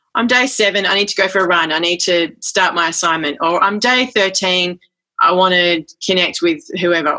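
This voice has a bright, sharp tone and an Australian accent. It moves at a moderate pace with ordinary pitch variation. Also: woman. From Western Australia. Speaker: folk singer and author. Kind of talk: casual interview.

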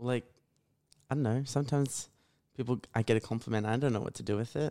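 In a very clean recording with a silent background and a dry, close sound with no echo, a man with an Australian accent speaks at a fairly quick pace and medium pitch. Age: young. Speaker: radio presenter, podcast guest. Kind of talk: casual chat. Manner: monotone.

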